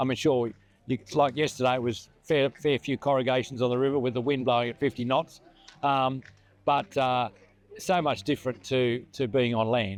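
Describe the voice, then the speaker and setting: A man talks at a moderate pace in an Australian accent. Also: medium pitch for a man, fairly even intonation. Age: 70s. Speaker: retired river inspector, rally participant. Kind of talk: interview.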